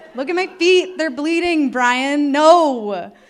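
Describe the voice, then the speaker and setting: A woman talks with an American accent. Her intonation is lively. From US Midwest, northeastern Ohio. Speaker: mountaineering instructor. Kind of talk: live storytelling talk. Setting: stage with audience. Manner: animated.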